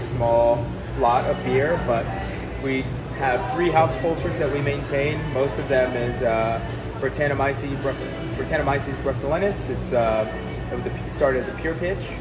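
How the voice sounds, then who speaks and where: Loud music plays in the background. A man talks over it at a moderate pace. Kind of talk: interview answer. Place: bar. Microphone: phone near.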